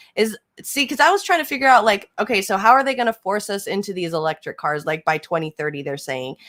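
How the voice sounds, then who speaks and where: Very fast and animated, a woman at medium pitch makes very wide pitch swings, recorded dry and close with no echo. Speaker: live streamer and political commentator. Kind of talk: casual live stream chat, reading viewer comments.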